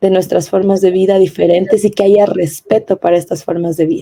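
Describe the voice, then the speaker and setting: With a dark, mellow tone and medium pitch, a woman speaks at a moderate pace with fairly even intonation. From Ecuadorian Amazon, Kichwa community. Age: 20s. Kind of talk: panel discussion interview.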